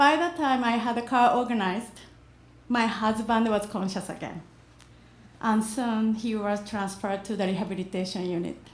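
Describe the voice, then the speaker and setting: A woman with a fairly high, somewhat breathy voice talks amid audible room echo. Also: ordinary pitch variation, moderate pace. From Japan. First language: Japanese. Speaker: immigrant storyteller. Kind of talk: reading aloud.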